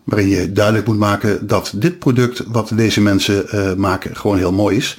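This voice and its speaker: Medium pitch and a moderate pace from a man. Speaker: radio DJ and stadium announcer. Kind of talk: casual interview. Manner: animated.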